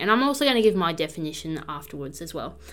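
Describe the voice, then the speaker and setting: A woman's voice sounds robotic. The recording is very clean, with a silent background. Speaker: podcast host, practising witch. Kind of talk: solo podcast talk. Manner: reading from notes, slightly robotic.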